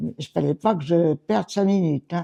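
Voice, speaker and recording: A woman speaks fairly slowly with a fairly low pitch and a dark, mellow tone, the sound dry and close with no echo. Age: 90s. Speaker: retired seamstress and company secretary. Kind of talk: interview, life story. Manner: halting, with hesitations.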